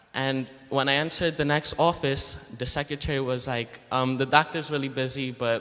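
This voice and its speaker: In an unremarkable speaking voice, a man talks at a moderate pace and medium pitch with fairly even intonation and hardly any pauses. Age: young. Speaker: student book canvasser. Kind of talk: testimony. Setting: church.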